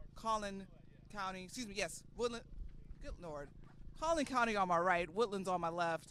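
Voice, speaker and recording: The voice is raised and projected, bright and sharp, with big swings in loudness, ordinary pitch variation, a moderate pace and long, frequent pauses. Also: man, high pitch for a man. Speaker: rugby commentator. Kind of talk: live commentary.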